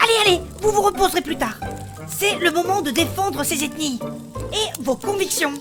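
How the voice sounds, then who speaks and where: Over clear background music, a woman speaks at a moderate pace in a put-on character voice pitched extremely high. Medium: audio drama.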